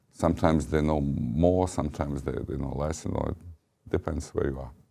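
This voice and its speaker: In a Serbian accent, the voice has a dark, mellow tone with vocal fry, fairly even intonation, and a fairly quick pace. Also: man, very deep, low pitch for a man. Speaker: ambassador. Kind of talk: interview. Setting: studio.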